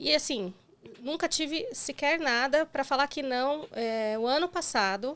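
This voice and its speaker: On a very clean recording with total silence behind it, the words come rather slowly. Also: woman, high pitch for a woman. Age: 40s. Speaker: breast cancer survivor. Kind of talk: interview testimony. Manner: halting.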